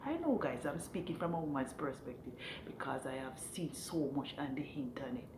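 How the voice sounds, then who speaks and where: Over noticeable background noise and audible room echo, a woman talks at a moderate pace with very wide pitch swings. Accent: Jamaican. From Jamaica. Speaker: vlogger, hotel room attendant. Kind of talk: casual opinion monologue. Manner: halting, repetitive.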